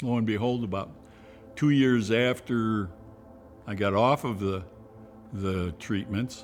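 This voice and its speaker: Music plays in the background as a man speaks at a fairly slow pace with ordinary pitch variation. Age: 70s. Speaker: cancer patient. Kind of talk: testimony.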